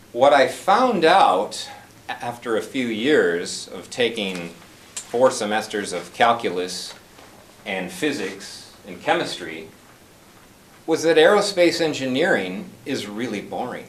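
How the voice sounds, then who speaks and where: Over noticeable background noise and audible room echo, a man at a medium pitch speaks very slowly, with very wide pitch swings and big swings in loudness. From US Midwest (North Dakota, Wisconsin). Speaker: club member giving a speech. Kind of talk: prepared speech.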